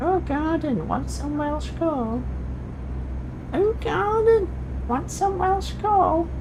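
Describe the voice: Over loud background noise, someone speaks in a put-on character voice at a very slow pace.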